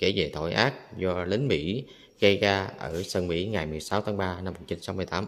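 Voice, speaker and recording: A man with a very deep, low pitch speaks at a very slow pace with ordinary pitch variation. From Vietnam. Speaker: travel vlogger. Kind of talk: vlog walking tour narration. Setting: outdoors at a memorial site and museum. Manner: halting, many fillers. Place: hall. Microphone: phone near.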